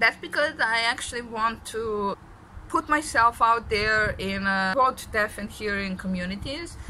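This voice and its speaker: A woman with a Serbian accent speaks at a fairly slow pace in a fairly high, bright and sharp voice, her pitch varying in an ordinary way. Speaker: deaf vlogger. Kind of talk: vlog monologue. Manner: halting, many fillers.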